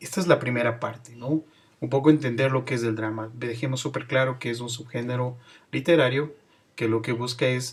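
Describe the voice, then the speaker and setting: Somewhat breathy in tone, a man talks at a moderate pace. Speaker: teacher. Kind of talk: lecture.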